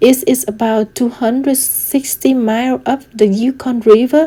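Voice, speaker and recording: At a fairly slow pace, a woman with a Vietnamese accent speaks at a fairly high pitch. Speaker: student. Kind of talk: class presentation.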